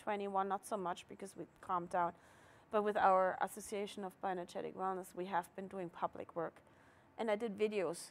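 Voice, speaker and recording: This is a woman with a German accent at a fairly quick pace. The recording is very clean, with a silent background. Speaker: market organizer. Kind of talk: casual interview.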